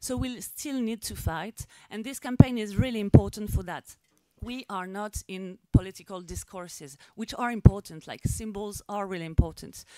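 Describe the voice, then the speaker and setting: With a French accent, a woman speaks at a moderate pace and medium pitch in a dark, mellow tone, using ordinary pitch variation. Her loudness shifts in big swings, and the sound is dry and close with no echo. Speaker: activist. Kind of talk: press conference speech. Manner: halting.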